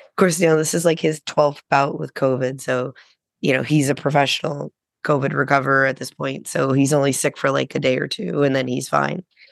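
A woman with a very deep, low voice and vocal fry talks at a fairly quick pace. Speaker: podcast co-host. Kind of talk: casual chat.

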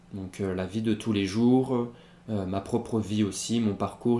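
Dark and mellow in tone, this man's fairly low voice moves at a very slow pace with fairly even intonation. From Pyrénées-Orientales, southern France. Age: 20s. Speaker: rapper. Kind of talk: interview. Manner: halting, many fillers and repetitions.

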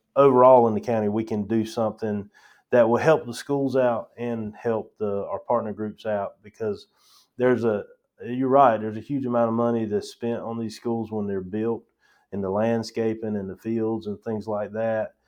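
Speaking in a Southern US accent, a man keeps a medium pitch, fairly even intonation and a moderate pace. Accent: Southern US, noticeable. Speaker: county parks director. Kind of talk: casual interview.

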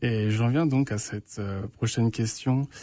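A man speaks at a fairly low pitch with a dark, mellow tone and fairly even intonation against a quiet background. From France. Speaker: radio host. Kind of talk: radio interview. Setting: radio studio. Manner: nervous, first time hosting.

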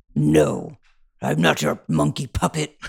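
Raspy and gravelly, a put-on character voice speaks at a fairly slow pace in a dry, close sound with no echo. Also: man, very deep, low pitch for a man. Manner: defiant.

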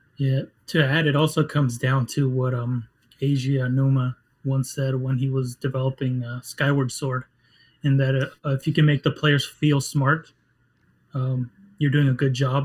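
This man's voice sits at a medium pitch, somewhat breathy, with monotone, flat intonation. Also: moderate pace. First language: Spanish. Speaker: game writer. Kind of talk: casual interview.

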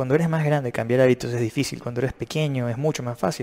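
This is a man with an unremarkable speaking voice. His pitch is medium. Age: 30s. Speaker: fitness and nutrition youtuber. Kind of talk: video commentary.

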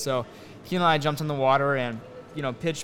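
Amid noticeable background noise, a man with a fairly high pitch speaks at a very fast pace. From Papua, Indonesia. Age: 19. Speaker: drone pilot and filmmaker. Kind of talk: interview.

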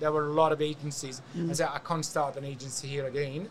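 A man talks at a fairly quick pace with a bright, sharp tone. He speaks with a Hungarian accent. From Hungary. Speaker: event agency founder. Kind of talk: casual interview. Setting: event show studio booth.

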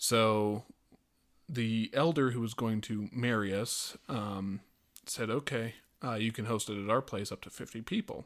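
A man talks at a fairly slow pace in a medium pitch. His intonation is fairly even, and the recording is very clean with a silent background. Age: 20s. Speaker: podcast guest, host's brother. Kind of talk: casual chat. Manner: halting, many fillers and repeats.

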